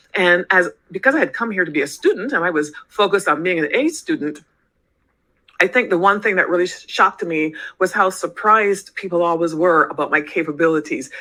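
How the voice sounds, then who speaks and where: Against a quiet background, a woman speaks at a medium pitch with a bright, sharp tone. Her pace is fairly quick, with ordinary pitch variation. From Barbados. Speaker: organizational psychologist. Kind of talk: interview.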